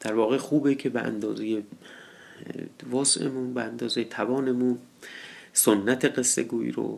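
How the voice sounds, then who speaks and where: In a monotone, flat intonation, a man talks at medium pitch and a fairly slow pace. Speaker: storyteller. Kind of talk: storytelling introduction. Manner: informal, conversational.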